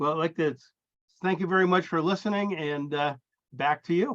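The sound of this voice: The man's pitch is fairly high, with ordinary variation. His pace is moderate.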